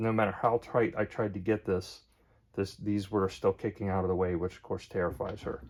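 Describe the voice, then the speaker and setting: Mumbling, a man speaks with fairly even intonation. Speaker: DIY hobbyist vlogger. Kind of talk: casual DIY tutorial. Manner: hesitant, many fillers.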